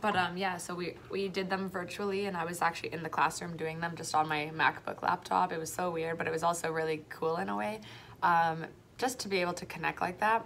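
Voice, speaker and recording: A woman with a Canadian accent, fairly low in pitch, at a fairly quick pace with ordinary pitch variation, over light background noise. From Toronto, Canada. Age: 20s. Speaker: primary school French teacher. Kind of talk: casual vlog. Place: classroom. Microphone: phone near.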